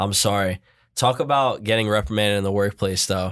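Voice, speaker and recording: On a very clean recording with a silent background, a man speaks at a fairly quick pace. He has a normal speaking voice, pitched fairly low. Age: 20s. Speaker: podcast co-host. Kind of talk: casual chat.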